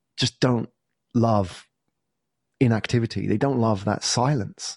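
A man speaks in a southern English accent at a medium pitch. The background is quiet. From southern England. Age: 40s. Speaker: entrepreneur and podcast agency founder. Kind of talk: interview conversation.

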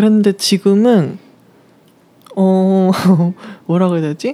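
A woman speaks in a dark, mellow tone at medium pitch. Her pace is fairly slow, with ordinary pitch variation. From South Korea. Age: 20s. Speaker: university student on leave, cafe worker. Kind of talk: interview. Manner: hesitant.

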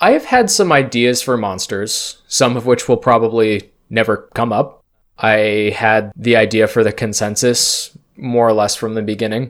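This man has an ordinary speaking voice at a medium pitch, keeping a moderate pace and fairly even intonation with hardly any pauses. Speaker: game master and host of a tabletop roleplaying podcast. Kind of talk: casual chat.

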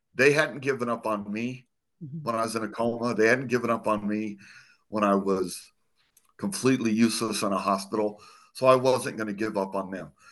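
An unremarkable speaking voice from a man with an American accent, medium pitch, ordinary pitch variation, and a quiet background. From Arizona. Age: 50s. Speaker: former police officer, burn survivor and motivational speaker. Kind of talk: casual interview conversation. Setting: video call.

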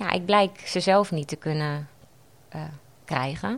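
The recording is very clean, its background silent. In it, a woman talks with ordinary pitch variation. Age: 30s. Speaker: patient sharing her story. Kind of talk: interview testimony. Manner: halting, many fillers.

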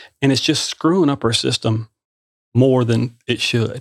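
Heard in a very clean, dry, close recording with a silent background and no echo, a normal speaking voice moves at a moderate pace with ordinary pitch variation. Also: man. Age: 50s. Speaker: podcast host and shop owner. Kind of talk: casual interview chat. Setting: studio.

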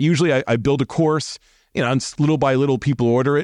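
An animated man's voice at medium pitch, with ordinary pitch variation, dry and close with no echo, over a quiet background. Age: 50s. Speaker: security trainer and company founder. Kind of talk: casual interview. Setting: recorded at a conference event.

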